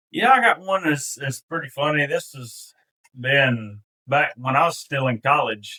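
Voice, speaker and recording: Spoken in a Mississippi accent, the voice has a bright, sharp tone and ordinary pitch variation. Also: man. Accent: Mississippi Southern. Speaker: duck hunter. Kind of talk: storytelling.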